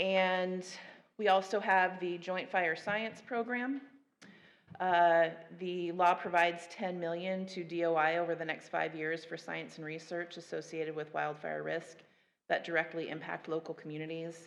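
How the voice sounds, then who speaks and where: Her pitch sits fairly low, and she has an unremarkable speaking voice. The woman's pace is moderate and her intonation fairly even. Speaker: federal agency panelist. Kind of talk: conference panel presentation.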